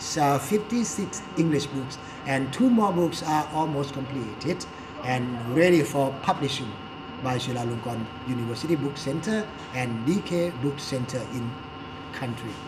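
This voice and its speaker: A man with a Thai accent speaks at a moderate pace in a fairly high pitch with lively intonation, over noticeable background noise and with audible room echo. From Thailand. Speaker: English teacher and commentator. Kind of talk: talk show commentary. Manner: halting, self-correcting.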